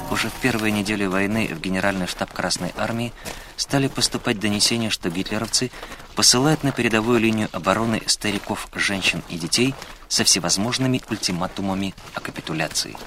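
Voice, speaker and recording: A man with a dramatic tone, fairly low pitch, ordinary pitch variation and a fairly quick pace over noticeable background noise. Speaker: documentary narrator. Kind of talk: history documentary narration, scripted and read aloud. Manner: measured, grave, steady authoritative delivery; formal, dramatic, with sombre emphasis on tragic facts.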